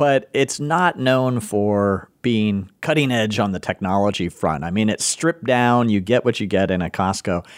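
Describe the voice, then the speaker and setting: A man with an unremarkable speaking voice talks at a moderate pace with hardly any pauses. His fairly low pitch has lively intonation and very even loudness. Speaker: podcast host. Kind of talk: casual conversation. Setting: studio.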